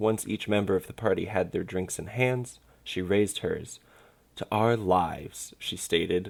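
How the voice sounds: Ordinary rise and fall of pitch in a natural read-aloud voice.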